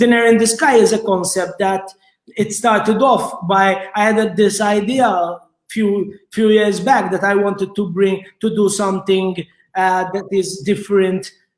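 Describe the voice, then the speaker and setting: A man with a Maltese accent, high in pitch, with fairly even intonation at a fairly slow pace. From Malta. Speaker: restaurateur. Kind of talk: interview. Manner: halting, many repetitions.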